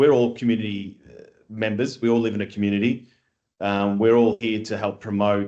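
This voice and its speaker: A man with an Australian accent speaks fairly quickly in a fairly low pitch, his tone dark and mellow. His intonation stays flat and monotone while his loudness swings widely. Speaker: construction industry scheme chief executive. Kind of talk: podcast interview.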